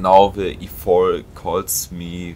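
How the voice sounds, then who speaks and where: A man with a German accent, very deep and low in pitch, his intonation fairly even. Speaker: gaming YouTuber. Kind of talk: gameplay commentary. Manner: halting.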